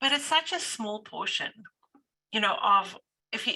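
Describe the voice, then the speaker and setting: With a South African accent, a woman speaks at a moderate pace in a fairly high, bright and sharp voice. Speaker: business owner or manager. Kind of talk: panel discussion. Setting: video call.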